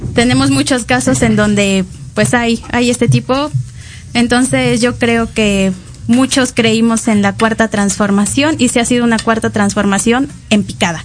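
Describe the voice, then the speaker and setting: A woman speaks in a fairly high voice at a fairly slow pace. Her pitch swings very widely while her loudness stays very even. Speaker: student podcast co-host. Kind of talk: casual political chat.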